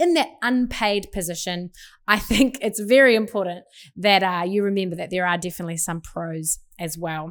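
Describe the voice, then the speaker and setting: The voice has a New Zealand accent. Its pitch varies in an ordinary way. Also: woman, medium pitch for a woman, moderate pace, very clean recording, silent background. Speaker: pastor and podcast host. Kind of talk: podcast monologue.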